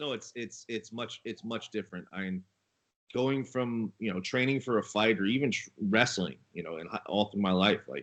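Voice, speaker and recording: A man's unremarkable speaking voice, medium in pitch with ordinary pitch variation, at a moderate pace. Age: 30s. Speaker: co-host, former fighter and wrestler. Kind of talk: casual chat.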